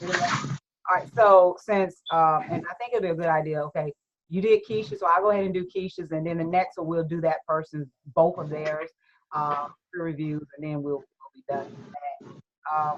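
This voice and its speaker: The woman's voice sits fairly low, with ordinary pitch variation. She talks at a moderate pace with big swings in loudness. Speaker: student group leader. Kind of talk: group discussion. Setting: video call. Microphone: unstable internet connection.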